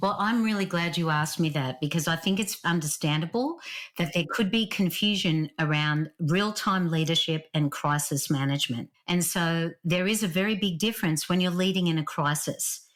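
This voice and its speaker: Fairly low female voice with a strong Australian accent, moderate pace, hardly any pauses and very even loudness, on a very clean recording with a silent background. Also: ordinary pitch variation. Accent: Australian, still strong. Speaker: leadership author and speaker. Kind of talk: podcast interview.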